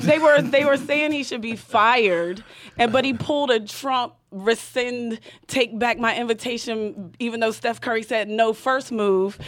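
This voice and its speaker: A woman with an American accent speaks in an ordinary speaking voice, her fairly high pitch moving with ordinary variation. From southwestern Pennsylvania, near West Virginia border. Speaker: comedian, panel guest. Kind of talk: casual comedic panel chat.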